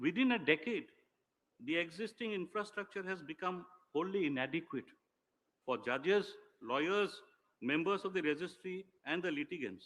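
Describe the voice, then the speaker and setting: With lively intonation and a high pitch, a man talks at a moderate pace, leaving long, frequent pauses. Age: 60s. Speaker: senior official, former lawyer. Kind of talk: ceremonial speech. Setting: public ceremony. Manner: formal.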